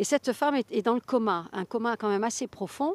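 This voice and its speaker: A woman with a fairly high pitch speaks at a moderate pace with lively intonation. The recording is very clean, with a silent background and a dry, close sound with no echo. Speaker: author. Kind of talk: interview. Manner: halting.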